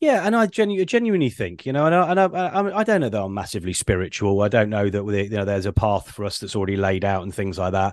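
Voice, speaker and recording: Against a quiet background, a man with a British accent talks at a very fast pace with hardly any pauses. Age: 40s. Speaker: ADHD business coach. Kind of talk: casual interview. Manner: halting, many fillers.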